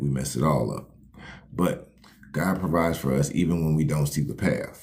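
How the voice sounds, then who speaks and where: A man speaks with vocal fry at a very deep, low pitch. His intonation stays fairly even. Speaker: life coach hosting a livestream. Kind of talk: motivational livestream talk. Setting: live stream. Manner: fast.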